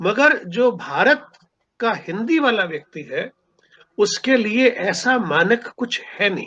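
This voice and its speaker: Extremely high-pitched for a man, his raised, projected voice has a bright, sharp tone and lively intonation. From Punjab, India. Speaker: writer and seminar speaker. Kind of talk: lecture.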